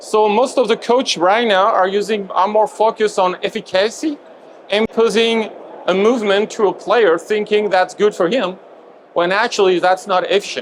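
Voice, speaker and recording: A man with a French accent speaks in a high pitch at a moderate pace. His loudness stays very even and his intonation fairly even. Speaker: movement coach presenter. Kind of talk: lecture. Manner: halting.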